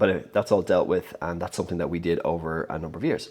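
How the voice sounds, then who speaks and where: A man speaks in a very deep, low pitch. The recording is very clean, with a silent background. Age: 30s. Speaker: entrepreneur vlogger. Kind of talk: casual vlog monologue. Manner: halting, many repeated words and fillers.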